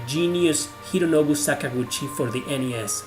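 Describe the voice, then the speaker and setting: A fairly high-pitched man with a non-native accent and ordinary pitch variation, music in the background. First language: not English. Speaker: video game YouTuber. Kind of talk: video game top-ten list narration.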